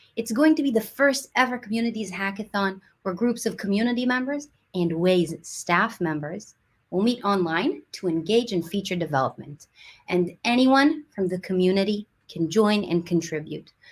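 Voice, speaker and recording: At a moderate pace, a woman speaks in a somewhat breathy voice at medium pitch. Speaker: community team host. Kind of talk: livestream presentation. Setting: online livestream.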